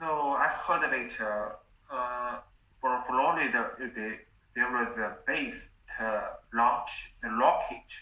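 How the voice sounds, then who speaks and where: A man with a Chinese accent speaks at a very slow pace. Noticeable background noise sits behind him. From China. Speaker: English learner. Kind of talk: casual chat. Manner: halting.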